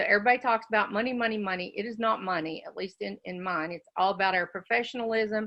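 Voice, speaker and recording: This woman speaks with a West Virginia accent. Her pitch sits in the medium range and shows ordinary variation. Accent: West Virginia twang. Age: 60s. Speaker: educational consultant, business owner. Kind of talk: casual business talk on a live forum. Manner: animated, chatty.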